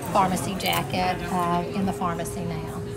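Loud background noise is heard throughout. Over it, a woman talks at a moderate pace. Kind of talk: casual tour guide talk. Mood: warm, proud. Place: shop. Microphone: lapel.

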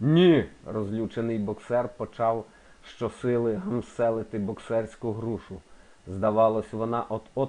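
The voice is plain reading aloud. Its intonation stays fairly even.

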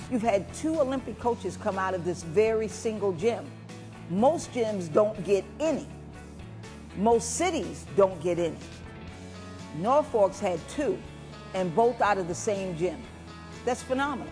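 Clear music plays in the background as a woman speaks. Her pace is fairly slow, with long, frequent pauses. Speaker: boxing coach. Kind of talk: interview answer. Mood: excited, animated storytelling. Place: gym. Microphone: lapel.

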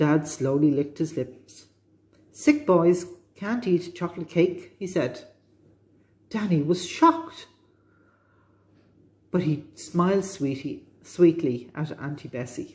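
A woman's somewhat breathy, fairly low voice at a very slow pace, with long, frequent pauses and ordinary pitch variation. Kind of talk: children's storytelling read-aloud. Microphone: phone near.

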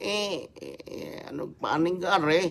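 This man speaks at a fairly high pitch. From Batangas, Philippines; Philippines. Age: 60s. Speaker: vlogger. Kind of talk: angry livestream rant. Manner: animated. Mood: boastful, defiant. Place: home room. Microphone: phone near.

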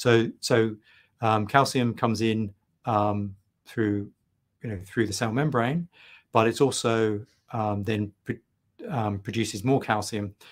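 At a slow pace, a man talks in a fairly low voice with fairly even intonation.

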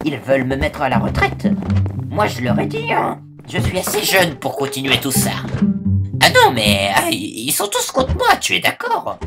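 Someone does a put-on character voice while clear music plays in the background. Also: moderate pace.

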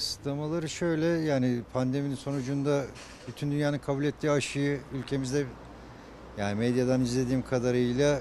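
A man talking at a fairly quick pace with fairly even intonation, dry sound without echo, and light background noise. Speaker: interviewee. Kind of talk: interview answer. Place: street. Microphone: handheld.

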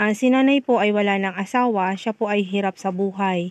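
In a dry, close sound with no echo, a woman uses an unremarkable speaking voice at a moderate pace with fairly even intonation. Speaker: community helper recommending aid recipients. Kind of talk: on-site vlog narration.

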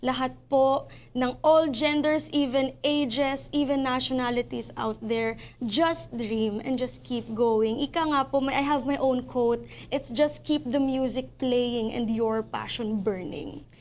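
Her pitch high, a woman talks at a fairly slow pace with fairly even intonation. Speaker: singer and actress. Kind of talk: interview.

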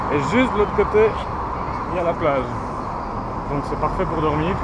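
A man's voice, dry with no echo, against loud background noise. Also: moderate pace. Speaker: hitchhiking travel vlogger. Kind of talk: casual vlog chat. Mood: relaxed, mildly upbeat. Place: street. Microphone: phone near.

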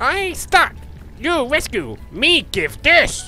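Clear music can be heard behind the speaker. A put-on character voice talks at a very slow pace. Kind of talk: broken, primitive speech. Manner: comical, crude, put-on.

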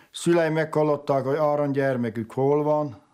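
A man speaks with a dark, mellow tone. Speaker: relative of the bishop. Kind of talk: documentary interview.

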